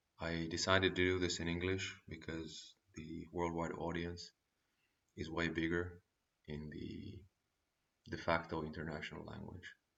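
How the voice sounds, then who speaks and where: A man with a non-native accent speaks in a very deep, low voice with monotone, flat intonation. His pace is moderate, broken by long, frequent pauses. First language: not English. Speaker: vlogger giving life advice. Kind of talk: casual advice monologue.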